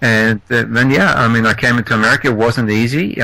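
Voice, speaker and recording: A man with a slight Australian accent speaks at a fairly quick pace in a monotone, flat intonation. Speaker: entrepreneur, podcast guest. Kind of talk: interview. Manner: halting.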